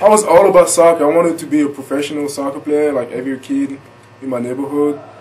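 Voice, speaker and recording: A fairly high male voice with ordinary pitch variation, audible room echo and noticeable background noise. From France, Paris. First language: French. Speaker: college basketball player. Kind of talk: interview. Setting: broadcast.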